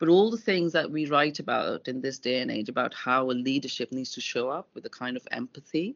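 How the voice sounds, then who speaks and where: A woman with a very deep, low pitch talks at a fairly quick pace. Her intonation is lively, and she leaves hardly any pauses. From India (Chandigarh, Punjab). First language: Hindi and Punjabi. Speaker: business journalist and editor. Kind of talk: casual interview. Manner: halting, many repetitions.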